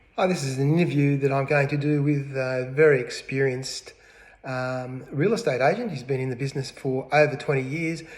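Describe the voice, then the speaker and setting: Over noticeable background noise, a man with an Australian accent speaks at a fairly quick pace in a fairly high voice with fairly even intonation. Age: 60s. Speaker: real estate agent. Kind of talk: mock self-interview, casual. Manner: hesitant, many fillers.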